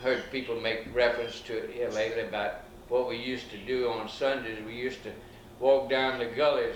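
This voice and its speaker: Over noticeable background noise and audible room echo, a man speaks with an Alabama accent. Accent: Southern US (Alabama). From US South, Alabama Gulf Coast. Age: 70s. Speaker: elderly local resident recounting town history. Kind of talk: oral history interview. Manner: folksy, hesitant with fillers.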